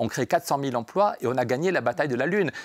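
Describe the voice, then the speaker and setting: Recorded very cleanly against a silent background, a man at medium pitch talks at a very fast pace with lively intonation, the sound dry and close with no echo. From France, Pyrenees. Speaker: member of European Parliament, politician. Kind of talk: radio interview. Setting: radio studio in European Parliament. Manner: animated.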